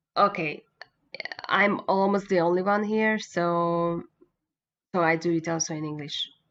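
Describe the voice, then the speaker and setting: With a Hungarian accent, a woman of fairly low pitch speaks at a fairly slow pace, her intonation fairly even and her pauses long and frequent. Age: 40s. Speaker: motorcycle racing journalist and former racer. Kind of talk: interview. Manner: halting.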